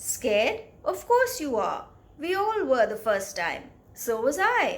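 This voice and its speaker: A woman puts on a gruff character voice, pitched high, with very wide pitch swings, a fairly slow pace and audible echo. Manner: reassuring, gentle.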